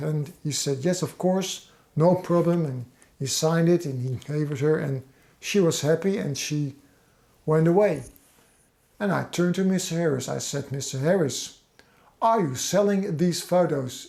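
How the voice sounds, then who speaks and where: A man with a Dutch accent talks at a moderate pace, leaving long, frequent pauses. His tone is dark and mellow, his pitch fairly high with ordinary variation. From Netherlands. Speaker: fan channel host. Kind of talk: personal storytelling. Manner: halting.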